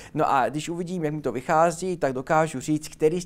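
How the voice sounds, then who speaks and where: A man with a fairly high pitch at a fairly quick pace, on a very clean recording with a silent background. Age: young. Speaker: linguist and teacher. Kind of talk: interview. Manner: fast; energetic.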